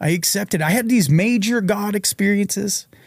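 The recording is very clean, with a silent background. A man with an American accent speaks with lively intonation. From Massachusetts, Reading (Boston suburbs). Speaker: former psychiatric patient and author. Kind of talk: interview storytelling.

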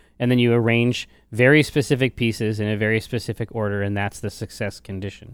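In a very clean recording with a silent background, a man with a medium pitch talks at a fairly quick pace in an animated tone. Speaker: podcast co-host and gamer. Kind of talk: casual banter about gaming. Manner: animated, jokey.

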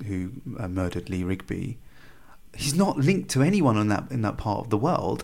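A man with a British accent, very wide pitch swings and long, frequent pauses. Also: fairly low pitch for a man, fairly quick pace. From England. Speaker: former extremist, counter-extremism director. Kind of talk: interview.

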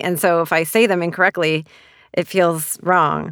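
In a Canadian accent, a woman speaks at a moderate pace with a normal speaking voice and fairly low pitch, recorded very cleanly against a silent background. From Canada. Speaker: author. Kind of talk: interview monologue.

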